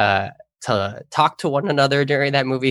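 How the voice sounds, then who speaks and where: Recorded very clean with a silent background and a dry, close sound with no echo, a man speaks in a plain, everyday voice with ordinary pitch variation. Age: 20s. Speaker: youth ministry coordinator. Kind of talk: casual chat.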